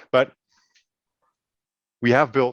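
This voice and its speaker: A man with a Danish accent talks at a moderate pace, the sound dry and close with no echo. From Denmark. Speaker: project partner presenting educational game. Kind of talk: webinar presentation. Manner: hesitant, many fillers and repetitions.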